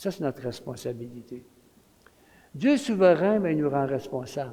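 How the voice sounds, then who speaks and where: A man's dark, mellow tone at a fairly high pitch, with a Quebec accent, lively intonation and a moderate pace. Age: 70s. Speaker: retired pastor, guest preacher. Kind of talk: sermon. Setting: church. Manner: animated.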